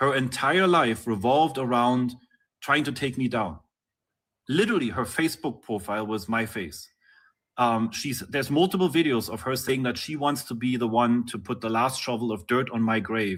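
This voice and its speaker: A man with a non-native accent talks at a moderate pace and medium pitch, with ordinary pitch variation, in a very clean recording with a silent background. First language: not English. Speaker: interviewee. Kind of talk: live-streamed interview. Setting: live stream.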